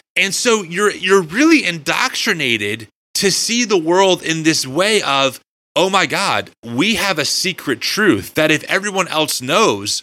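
With vocal fry and a bright, sharp tone, a man speaks at a fairly slow pace and a fairly high pitch, his voice making very wide pitch swings. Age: 30s. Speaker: podcast host. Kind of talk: interview conversation; host promo read. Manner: animated.

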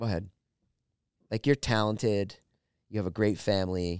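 A man with a fairly low voice speaks at a moderate pace. His tone is animated. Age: 50s. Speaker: comedian. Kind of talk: casual chat. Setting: studio.

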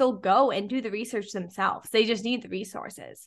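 A woman speaks in a plain, everyday voice, pitched fairly high. Her intonation stays fairly even against a quiet background. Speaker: podcast host. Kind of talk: casual chat.

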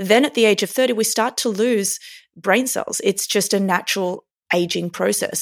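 A woman with an Australian accent at medium pitch, moderate pace and ordinary pitch variation, some vocal fry, in a very clean, dry, close recording with a silent background and no echo. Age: 30s. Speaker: neurophysiologist and performance coach. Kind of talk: interview.

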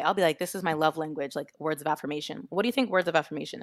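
Talking at a very fast pace and a fairly low pitch, a woman is heard in a very clean recording with a silent background and a dry, close sound with no echo. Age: 30s. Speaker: podcaster. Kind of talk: casual chat.

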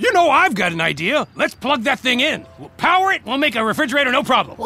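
A man rattles along at a very fast pace in a put-on character voice. His pitch is extremely high. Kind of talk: comic overacting. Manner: excitable, enthusiastic.

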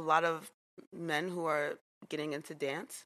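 This voice has a bright, sharp tone and a New York accent. It moves at a fairly slow pace with ordinary pitch variation. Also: woman. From New York City (Jamaica, Queens). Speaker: dance teacher. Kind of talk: casual chat.

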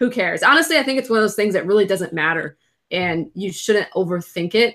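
Bright and sharp in tone, this voice has an American accent. Its pitch swings very widely. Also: woman. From Florida. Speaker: print on demand seller.

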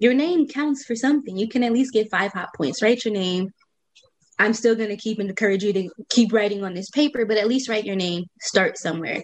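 A woman with an American accent, a fairly high pitch and a fairly quick pace. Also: ordinary pitch variation. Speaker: doctoral student and founder of a study abroad program.

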